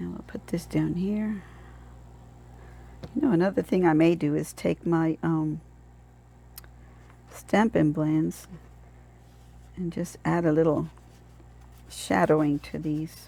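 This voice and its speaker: Pausing long and often, a woman talks very slowly. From Puerto Rican heritage. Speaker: card-making crafter. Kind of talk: tutorial. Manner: casual, chatty.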